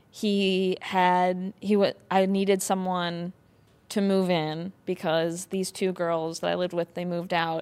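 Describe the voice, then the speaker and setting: A woman with an American accent speaks slowly at a medium pitch, her intonation flat and monotone. The recording is very clean, with a silent background. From Wisconsin. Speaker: comedian and actress. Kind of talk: casual comedic chat.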